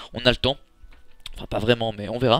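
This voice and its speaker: In a very clean recording with a silent background, a man talks in a fairly low pitch. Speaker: gaming youtuber. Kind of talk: casual vlog talk to viewers. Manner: fast; hesitant with many fillers.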